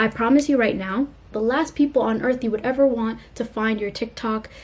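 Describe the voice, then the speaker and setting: A woman speaks at a fairly high pitch, somewhat breathy. Her intonation stays fairly even. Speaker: YouTuber. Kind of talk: casual vlog talk to camera. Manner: fast; casual, filler-heavy.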